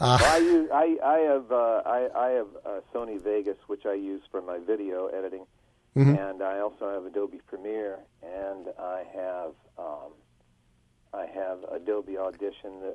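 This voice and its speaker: A man's ordinary speaking voice, fairly low in pitch with ordinary variation, at a moderate pace. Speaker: radio personality and voiceover talent. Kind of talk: casual interview answer about audio gear.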